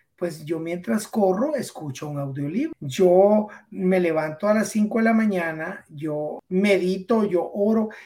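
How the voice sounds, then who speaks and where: The speech moves at a very slow pace with lively intonation and hardly any pauses. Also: man, high pitch for a man. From Guatemala, Esquipulas. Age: 50s. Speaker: weight-loss guest, fitness coach. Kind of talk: casual interview chat.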